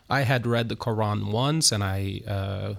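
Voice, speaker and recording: A man with a Turkish accent speaks at a fairly slow pace and medium pitch, his pitch varying in an ordinary way, on a very clean recording with a silent background. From Turkey, Istanbul. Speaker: pastor. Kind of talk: interview. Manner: halting.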